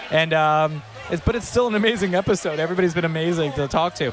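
A man talks very fast at a high pitch. Noticeable background noise runs underneath. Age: 40s. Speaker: podcast host. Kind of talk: casual interviews. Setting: outdoors at a beer festival.

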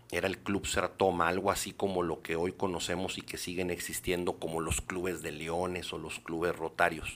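Very deep and low in pitch, this man's voice moves at a moderate pace. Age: 50s. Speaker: politician. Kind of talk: interview.

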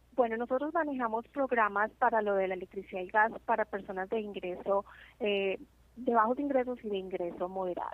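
Talking at a fairly quick pace, a woman has a fairly high pitch with ordinary pitch variation. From Colombia. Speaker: community outreach supervisor. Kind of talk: interview. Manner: frequent hesitations (eh).

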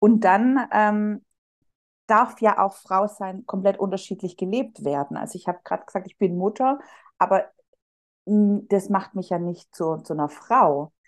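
In an ordinary speaking voice, a woman at a medium pitch talks at a moderate pace with ordinary pitch variation and big swings in loudness, against a quiet background. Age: 30s. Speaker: psychological counselor. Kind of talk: casual interview chat.

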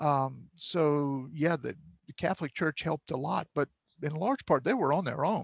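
Vocal fry runs through speech at a moderate pace with ordinary pitch variation, recorded with a dry, close sound and no echo. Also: man, fairly high pitch for a man. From South Louisiana (Cut Off, Lafourche Parish). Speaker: film director. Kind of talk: interview conversation.

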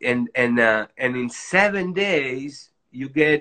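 A man with a Spanish accent, fairly high in pitch, with lively intonation. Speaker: doctor, author. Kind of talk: interview, casual chat.

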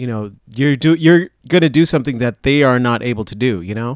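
In a very clean recording with a silent background, a man with an ordinary speaking voice talks at a moderate pace and medium pitch, his intonation lively. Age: 40s. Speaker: podcast co-host. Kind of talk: casual chat.

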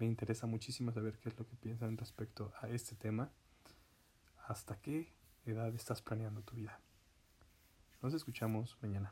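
Somewhat breathy and dark, mellow in tone, a man at medium pitch speaks with fairly even intonation and long, frequent pauses. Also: moderate pace. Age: 20s. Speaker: podcaster. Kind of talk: personal monologue.

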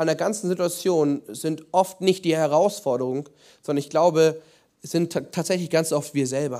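Dark, mellow and warm in tone, this man's fairly high voice moves at a moderate pace with ordinary pitch variation. He leaves long, frequent pauses. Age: 20s. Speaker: preacher. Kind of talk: sermon. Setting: church. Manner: earnest, pleading, with halting restarts; warm, conversational, explaining.

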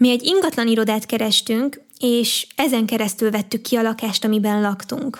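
A woman speaks with an unremarkable speaking voice at a fairly high pitch. Her pace is moderate and her pitch varies in an ordinary way. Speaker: podcast host and youtuber. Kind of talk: personal monologue.

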